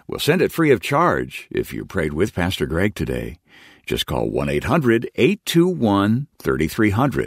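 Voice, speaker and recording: A man with vocal fry speaks very slowly at a fairly low pitch, his voice swinging very widely. The recording is very clean and the background silent. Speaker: radio program announcer. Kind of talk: scripted narration.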